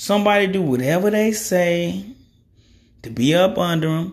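With lively intonation, a man speaks amid audible room echo. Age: 30s. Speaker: podcast host. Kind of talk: casual monologue. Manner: casual, rambling.

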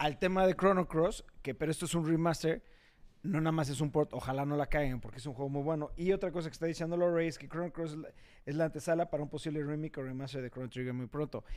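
At a very fast pace, a man talks at a fairly high pitch with fairly even intonation. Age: 30s. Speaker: podcast host. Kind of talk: casual chat.

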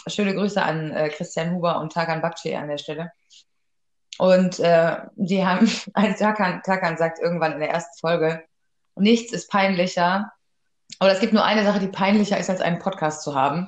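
Speaking at a moderate pace, a woman of medium pitch has a plain, everyday voice with fairly even intonation. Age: 30s. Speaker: podcast co-host. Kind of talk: casual chat.

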